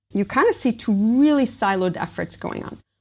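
Heard on a very clean recording with a silent background, the speaker talks with an American accent. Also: woman. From US, with Israeli background. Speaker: biotech company founder and CEO. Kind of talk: interview.

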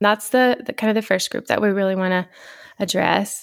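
A woman speaks with a West Texas accent and fairly even intonation. The sound is dry and close with no echo, and the recording is very clean over a silent background. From Texas Panhandle, small town. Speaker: podcast co-host, physical therapist assistant. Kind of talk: casual chat.

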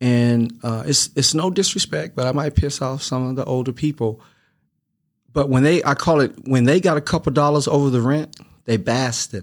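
The recording is very clean, with a silent background. A man with an unremarkable speaking voice talks at medium pitch and a moderate pace, with ordinary pitch variation. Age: 50s. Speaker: returning podcast guest. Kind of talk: casual interview chat.

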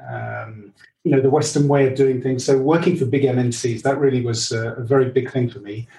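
He speaks with an English accent at a medium pitch for a man. His dark, mellow tone is somewhat breathy, with fairly even intonation. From England. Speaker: leadership coach. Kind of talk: interview.

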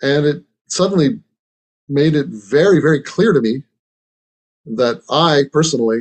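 This man's voice sits at a fairly high pitch. He talks at a fairly slow pace with lively intonation. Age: 60s. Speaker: meditation teacher. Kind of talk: dharma talk. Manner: halting.

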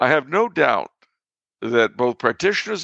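A man's fairly high voice at a moderate pace, with vocal fry and very wide pitch swings. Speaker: podcast co-host, commentator on history and religion. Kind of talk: casual chat.

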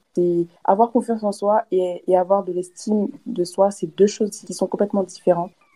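Pitched at a medium level, a woman's voice has a dark, mellow tone and fairly even intonation. She keeps a moderate pace with hardly any pauses. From DR Congo (Kinshasa), then France from age 8-9. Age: 20s. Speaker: student and entrepreneur. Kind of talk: casual interview. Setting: remote call from Kinshasa.

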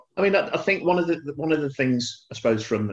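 With a Birmingham accent, a man is speaking. His pitch shows ordinary variation. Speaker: retired police officer. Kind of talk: panel discussion.

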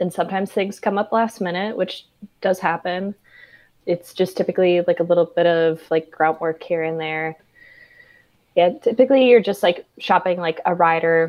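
This woman has an ordinary speaking voice with an American accent and a fairly low pitch. She keeps a moderate pace and fairly even intonation. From Minnesota, US Midwest. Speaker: tour merchandise and VIP manager. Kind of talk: casual interview chat.

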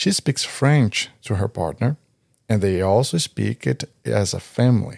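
This man's voice sits fairly low, with lively intonation and very even loudness at a fairly slow pace. The sound is dry and close, with no echo. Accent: Portuguese. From Brazil. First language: Portuguese. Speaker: podcast host. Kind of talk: casual podcast conversation.

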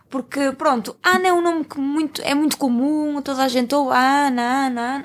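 A high-pitched woman's voice is heard. Her recording is very clean, with a silent background. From Porto, northern Portugal. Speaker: podcast co-host. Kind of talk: casual chat.

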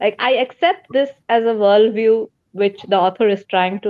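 Her pitch is fairly high and her pace moderate. This woman has an unremarkable speaking voice with ordinary pitch variation. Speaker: book and comics reviewer. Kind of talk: casual chat. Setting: video call.

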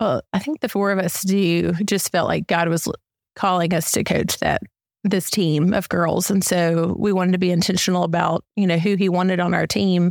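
Dry and close with no echo, a woman with a Southern US accent speaks at a moderate pace, her fairly low pitch carrying fairly even intonation and very even loudness. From US South, Mississippi. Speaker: church member, youth softball coach. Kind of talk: interview.

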